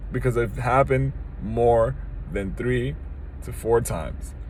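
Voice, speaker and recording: A man's voice with audible room echo. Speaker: video commentator. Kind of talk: monologue. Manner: halting, repeats words.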